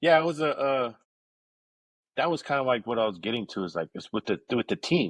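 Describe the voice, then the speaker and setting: A loud man with an American accent and a medium pitch talks at a fairly quick pace in an animated tone, his pitch swinging very widely, with long, frequent pauses, a dry, close sound with no echo and a quiet background. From East Los Angeles, California. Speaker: pizzeria owner. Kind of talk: casual chat.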